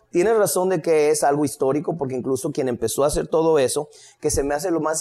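With a normal speaking voice, this man's fairly high pitch shows ordinary pitch variation as he talks fairly quickly. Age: 50s. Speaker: history lecturer. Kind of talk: casual chat.

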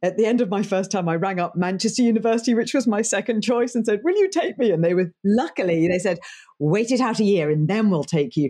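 With an English accent, a woman speaks in a dark, mellow tone at a medium pitch over a quiet background. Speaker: leadership coach and broadcast journalist. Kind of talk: interview; guided exercise. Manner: animated.

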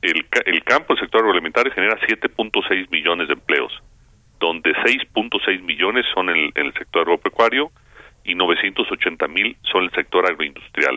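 At a fairly slow pace, a man talks with a very deep, low pitch and very even loudness. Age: 60s. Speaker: agricultural business association leader. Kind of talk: radio interview. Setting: phone call.

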